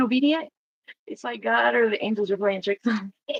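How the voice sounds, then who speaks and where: A woman's voice with lively intonation. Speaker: livestreamer. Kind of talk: casual livestream talk. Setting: home livestream at desk. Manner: halting.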